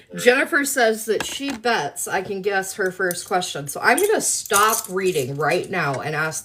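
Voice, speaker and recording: Over noticeable background noise, a woman in an American accent talks at a moderate pace and medium pitch, with very wide pitch swings and hardly any pauses. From US South. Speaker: live streamer answering viewer questions. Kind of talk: casual live stream chat.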